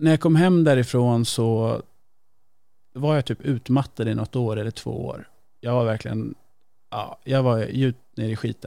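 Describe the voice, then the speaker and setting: A man with a normal speaking voice talks at a moderate pace and medium pitch, using ordinary pitch variation on a very clean recording with a silent background. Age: 30s. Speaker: podcast guest. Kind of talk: casual chat.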